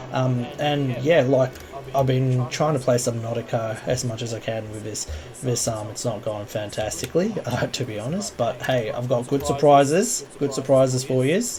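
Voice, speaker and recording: There is noticeable background noise as a man with an Australian accent speaks at a medium pitch and moderate pace, with ordinary pitch variation. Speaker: gaming youtuber. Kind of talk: gameplay commentary. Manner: halting, many fillers. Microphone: audio problem in recording.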